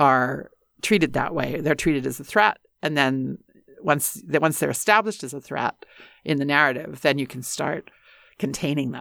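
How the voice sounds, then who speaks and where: A woman with a Western Canadian accent speaks at a moderate pace, her pitch very deep and low, with vocal fry. Her loudness swings widely, and the recording is very clean with a silent background. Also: ordinary pitch variation. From rural northern Alberta, Canada. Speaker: university dean and English professor. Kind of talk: interview conversation.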